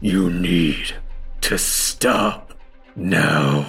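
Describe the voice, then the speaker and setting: In a put-on character voice, a man sounds raspy and very deep and low, with faint music in the background. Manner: eerie, commanding.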